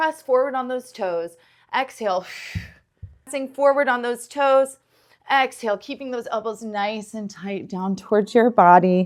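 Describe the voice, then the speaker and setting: A woman with a normal speaking voice talks at a fairly slow pace, her loudness rising and falling in big swings. Her pitch is fairly high, with ordinary pitch variation. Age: 40s. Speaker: yoga teacher. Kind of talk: guided yoga class. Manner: encouraging.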